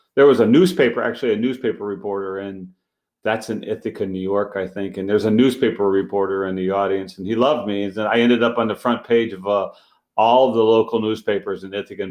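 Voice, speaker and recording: A man with a fairly low pitch talks at a very fast pace, his intonation fairly even and his loudness swinging widely. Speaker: street magician. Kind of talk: casual interview.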